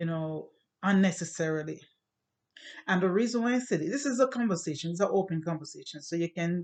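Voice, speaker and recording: A woman's fairly low voice with a slight Jamaican accent and ordinary pitch variation. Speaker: YouTuber. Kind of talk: casual monologue to camera.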